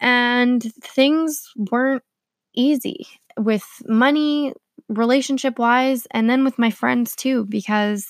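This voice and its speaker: A woman's fairly high voice in a Canadian accent, very slow and fairly even in intonation, in a very clean recording with a silent background. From Canada (Manitoba). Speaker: podcast host. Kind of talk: personal storytelling monologue.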